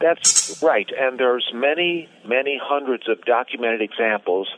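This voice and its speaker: Using a normal speaking voice, a man talks at medium pitch and a moderate speed, his pitch varying in an ordinary way. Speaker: columnist. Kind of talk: interview. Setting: video call.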